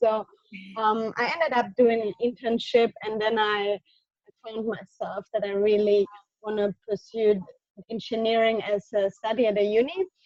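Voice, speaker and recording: A woman with a German accent speaks in a fairly high voice, the sound dry and close with no echo. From southern Germany. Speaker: motorsport engineer. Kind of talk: interview. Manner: halting.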